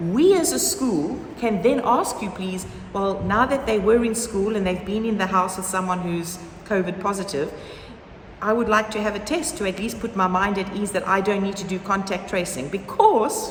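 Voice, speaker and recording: A woman speaks at a moderate pace with ordinary pitch variation. Noticeable background noise and audible room echo are present. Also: medium pitch for a woman. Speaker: primary school head. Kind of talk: informational talk to parents. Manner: conversational, informal.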